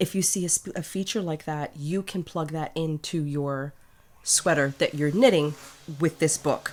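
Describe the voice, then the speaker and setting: A woman's fairly low voice at a moderate pace with ordinary pitch variation, in a very clean recording with a silent background. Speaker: knitting podcaster. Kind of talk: casual talk to camera. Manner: relaxed, chatty.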